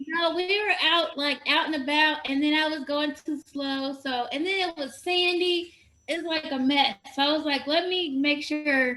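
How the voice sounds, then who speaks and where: With an American accent, the speaker uses a raised, projected voice at a fairly slow pace, with hardly any pauses. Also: woman, high pitch for a woman, fairly even intonation. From US Midwest, Indiana. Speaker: expat yoga teacher. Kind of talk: casual chat.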